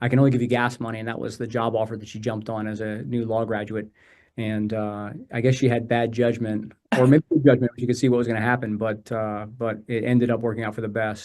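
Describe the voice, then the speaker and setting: Speaking very fast, a man keeps a medium pitch and a flat, monotone delivery. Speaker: personal injury attorney, law firm co-founder. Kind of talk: podcast interview. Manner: direct.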